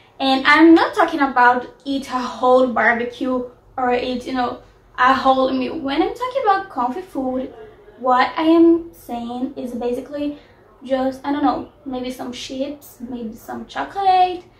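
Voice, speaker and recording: Speaking with a non-native accent, a woman has a high pitch with ordinary pitch variation. Her loudness swings widely, and her pace is fairly slow. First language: not English. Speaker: lifestyle vlogger. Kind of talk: casual advice vlog. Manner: hesitant, with fillers.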